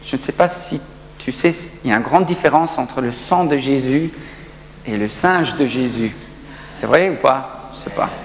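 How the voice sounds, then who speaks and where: Amid noticeable background noise and audible room echo, a man speaks at a fairly slow pace with lively intonation. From South Africa. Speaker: pastor. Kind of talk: sermon. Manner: halting.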